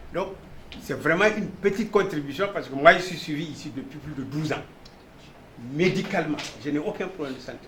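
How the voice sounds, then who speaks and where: Over noticeable background noise and audible room echo, a man with a high pitch talks at a fairly quick pace, his loudness swinging widely between long, frequent pauses. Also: ordinary pitch variation. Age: 60s. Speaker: patient. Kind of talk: testimony. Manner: casual, conversational.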